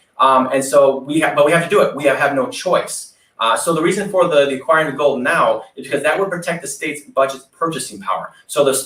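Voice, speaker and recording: Speaking very fast with hardly any pauses, a man with an American accent has a fairly high pitch and ordinary pitch variation. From Wisconsin. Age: 30s. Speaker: political candidate. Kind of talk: interview. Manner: animated.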